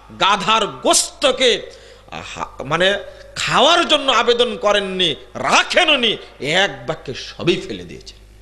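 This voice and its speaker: A man's voice with audible room echo. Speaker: Islamic preacher. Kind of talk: sermon. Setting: religious gathering with audience. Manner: animated.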